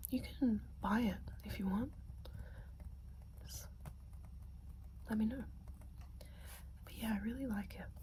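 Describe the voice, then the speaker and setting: A soft-spoken woman whispers, leaving long, frequent pauses. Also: moderate pace. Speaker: ASMR creator. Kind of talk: ASMR whispered talk to camera. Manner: soft, whispered, intimate.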